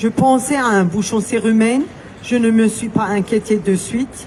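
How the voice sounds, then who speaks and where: Fairly high-pitched woman at a fairly slow pace, ordinary pitch variation, noticeable background noise. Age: 60s. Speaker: vaccine injury victim giving testimony. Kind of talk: testimony. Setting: outdoor demonstration, public address. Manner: reading a prepared statement.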